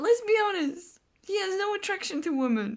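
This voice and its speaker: In a non-native accent, a woman speaks at a fairly slow pace with an animated tone. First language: not English. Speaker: gaming video creator. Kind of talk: casual commentary on a game. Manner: halting.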